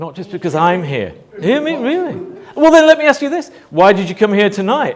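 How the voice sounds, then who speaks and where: A man speaks fairly quickly at a high pitch. His pitch swings very widely and his loudness shifts a lot. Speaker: motivational speaker. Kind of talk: talk to live audience. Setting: stage with audience. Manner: animated.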